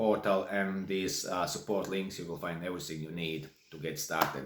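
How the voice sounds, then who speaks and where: This man talks at a fairly low pitch with a Latvian accent. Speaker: online course creator and songwriter. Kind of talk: tutorial. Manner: casual, halting.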